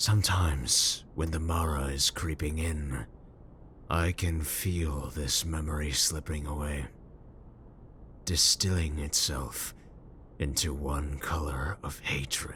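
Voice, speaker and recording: Against clear background noise, a man uses a put-on character voice, very deep and low in pitch, with fairly even intonation, a fairly slow pace and long, frequent pauses. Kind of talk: comfort roleplay audio. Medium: audio drama. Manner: cold, terse, measured.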